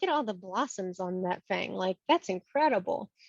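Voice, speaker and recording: The speaker has an animated tone and an American accent, going at a moderate pace. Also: woman. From US South, Virginia Tidewater. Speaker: horticultural historian. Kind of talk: podcast interview.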